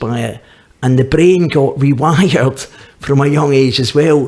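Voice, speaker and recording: Somewhat breathy and fairly high-pitched, a man with a Glaswegian accent speaks at a moderate pace with ordinary pitch variation. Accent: Glaswegian Scottish. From Scotland, Glasgow. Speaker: recovering addict. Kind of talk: testimony. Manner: halting, with repetitions.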